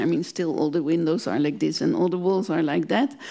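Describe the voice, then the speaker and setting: A woman speaks with a Dutch accent. The background is quiet. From Netherlands. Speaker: museum director; guest. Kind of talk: panel discussion. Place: hall. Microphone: handheld.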